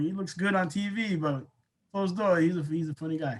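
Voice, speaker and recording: Loud and high-pitched, a man speaks with fairly even intonation. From New England, Colombian background. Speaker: basketball coach. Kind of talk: casual interview. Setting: podcast interview.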